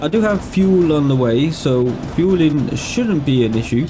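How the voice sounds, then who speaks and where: A man with a fairly high pitch, lively intonation and a fairly slow pace, amid audible room echo and noticeable background noise. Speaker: gaming youtuber. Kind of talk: gameplay commentary.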